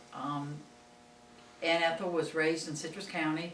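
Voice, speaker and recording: Noticeable noise sits in the background. The talking proceeds at a moderate pace. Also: woman. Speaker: school superintendent. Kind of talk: interview introduction.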